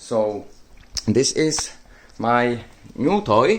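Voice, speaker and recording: With a Czech accent, a man speaks at a medium pitch with lively intonation. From Czech Republic. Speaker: tech YouTuber. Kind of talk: product showcase. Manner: halting, many fillers.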